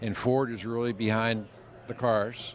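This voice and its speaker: Over music in the background, a man with an American accent talks at a medium pitch in a monotone, flat intonation. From Pennsylvania. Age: 70s. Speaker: car collector and drag racer. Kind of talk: interview.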